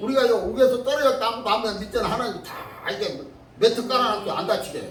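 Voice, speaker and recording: A man talks at a very fast pace in an extremely high pitch, with ordinary pitch variation. His loudness swings widely over noticeable background noise. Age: 80s+. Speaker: pastor. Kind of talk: church sermon.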